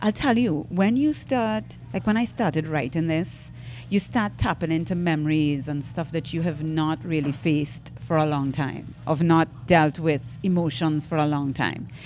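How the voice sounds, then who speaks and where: Speaking at a moderate pace, a woman with a very deep, low pitch and vocal fry shows ordinary pitch variation. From Trinidad and Tobago. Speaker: stand-up comedian. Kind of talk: podcast interview answer.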